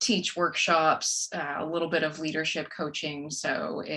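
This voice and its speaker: A woman with a Texan accent talks in a bright, sharp tone. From West Texas, rural. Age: 40s. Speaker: author and corporate trainer. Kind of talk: podcast interview.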